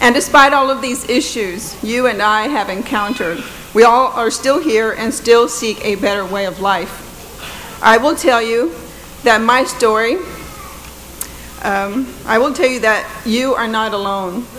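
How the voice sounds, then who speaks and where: There is noticeable background noise and audible room echo. A woman speaks in a fairly high voice with ordinary pitch variation. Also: fairly slow pace. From Texas, Corpus Christi west side. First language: Spanish. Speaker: judge. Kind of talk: commencement speech. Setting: stage with audience.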